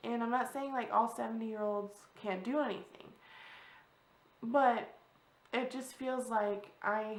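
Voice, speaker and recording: At a moderate pace, a woman speaks with a fairly high pitch and fairly even intonation, with audible room echo around her. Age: 30s. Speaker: vlogger. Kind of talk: personal vlog talk. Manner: halting.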